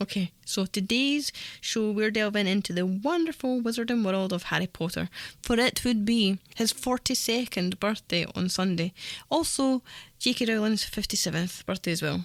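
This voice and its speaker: In a very clean recording with a silent background and a dry, close sound with no echo, a woman uses an ordinary speaking voice at medium pitch, with lively intonation and very even loudness. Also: moderate pace. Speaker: radio presenter. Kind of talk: community radio presenting. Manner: upbeat, cheerful.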